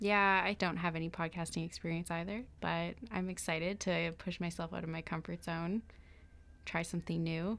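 Recorded very cleanly over a silent background, a woman with a Canadian accent speaks at a moderate pace in a fairly low pitch with monotone, flat intonation. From British Columbia, Canada (Pitt Meadows). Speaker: law student podcast co-host. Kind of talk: casual chat. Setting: studio.

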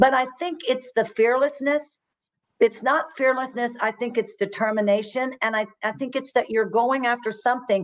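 In a Texan accent, a woman talks at a moderate pace with a high pitch, an animated tone and ordinary pitch variation. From Texas, Fort Worth. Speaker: retired executive and business coach. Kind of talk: interview.

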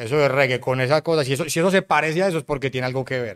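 Talking at a very fast pace, a man speaks. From Colombia, Cartagena. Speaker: music producer. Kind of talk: casual interview chat. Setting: studio.

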